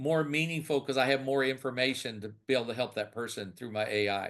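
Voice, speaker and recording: Against a quiet background, the talking goes at a fairly quick pace. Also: man. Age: 60s. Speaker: senior care business owner. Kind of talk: interview. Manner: halting, many repetitions.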